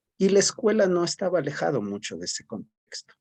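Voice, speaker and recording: Dry and close with no echo, a man's voice carries a dark, mellow tone. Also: quiet background. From Ecuador, Cayambe area (Pichincha highlands). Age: 40s. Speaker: teacher and educational psychologist. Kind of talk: interview. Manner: hesitant, with many fillers.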